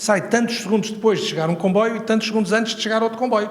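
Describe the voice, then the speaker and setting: Over audible room echo, a man talks at a very fast pace in a high voice. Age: 70s. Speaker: professor emeritus, transport engineering expert. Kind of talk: Q&A answer at a conference. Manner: conversational, informal fillers.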